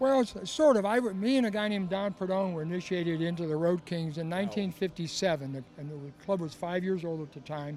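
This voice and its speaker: A man talks at a moderate pace in a high pitch with ordinary pitch variation. The sound is dry with no echo, with light background noise. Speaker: interviewee. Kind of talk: interview answer. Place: street. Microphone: handheld.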